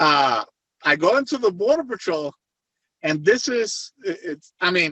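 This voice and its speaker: A man in a Puerto Rican accent, high-pitched, with very wide pitch swings and a fairly slow pace. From Puerto Rico. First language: Spanish. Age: 50s. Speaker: retired federal agent turned private investigator. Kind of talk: interview. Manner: halting.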